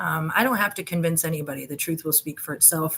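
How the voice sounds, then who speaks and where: A woman speaks while noticeable background noise fills the recording. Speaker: YouTube conspiracy investigator. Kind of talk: casual video monologue. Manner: hesitant, many fillers.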